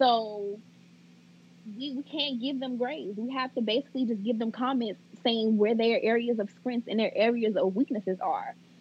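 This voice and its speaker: A normal speaking voice from a woman, fairly high in pitch, with ordinary pitch variation and a moderate pace. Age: 20s. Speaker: second grade teacher. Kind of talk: casual interview chat.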